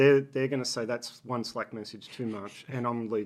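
This man speaks at a medium pitch with an Australian accent. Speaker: business executive. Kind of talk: interview. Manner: halting.

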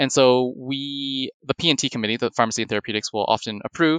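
A man talks at a fairly quick pace with a Canadian accent and ordinary pitch variation. It is a normal speaking voice, heard in a dry, close sound with no echo. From Canada, Toronto. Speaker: hospital informatics pharmacist. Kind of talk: interview.

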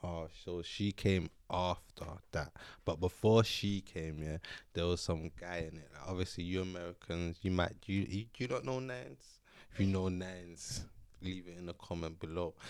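A man speaks with a London accent in a very deep, low voice, with ordinary pitch variation and big swings in loudness. The recording is very clean, with a silent background. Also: moderate pace. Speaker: podcast guest. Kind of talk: casual chat. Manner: joking.

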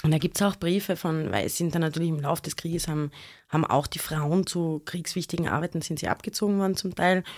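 Speaking very fast at a fairly low pitch with fairly even intonation, a woman is heard in a very clean recording with a silent background. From Austria, Graz (Styria). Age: 40s. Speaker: historian and author. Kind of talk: interview. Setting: studio.

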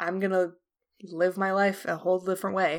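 At a moderate pace and medium pitch, a woman speaks in a very clean recording with a silent background. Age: 20s. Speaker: artist and streamer. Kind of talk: casual chat.

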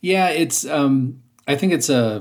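A man speaks with ordinary pitch variation. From US Midwest, western Ohio. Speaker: voice actor. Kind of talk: casual interview chat. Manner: halting, many repetitions; careful diction.

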